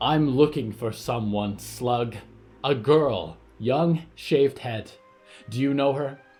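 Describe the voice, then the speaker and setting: With faint music in the background, a man does a put-on character voice at a medium pitch and a fairly slow pace. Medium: audio drama. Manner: cold, commanding, threatening.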